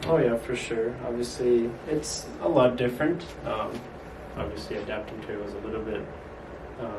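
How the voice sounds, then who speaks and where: A man of medium pitch speaks with ordinary pitch variation, long, frequent pauses, and big swings in loudness. The recording has audible room echo and noticeable background noise. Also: moderate pace. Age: young. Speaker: student athlete. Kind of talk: interview.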